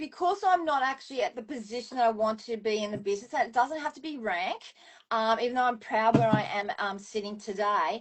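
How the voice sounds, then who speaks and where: With an Australian accent, a woman speaks in a high pitch and lively intonation. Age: 60s. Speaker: former professional dancer, wellness business owner. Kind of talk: interview answer.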